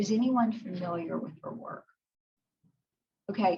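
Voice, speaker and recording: With ordinary pitch variation, the woman talks in a somewhat breathy voice. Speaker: psychologist. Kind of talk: lecture.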